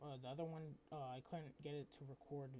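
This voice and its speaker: A man talks quietly at a fairly quick pace. His voice is fairly high, with a dark, mellow tone. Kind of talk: casual screen-recording tutorial. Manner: hesitant, filler-heavy; quiet, low volume.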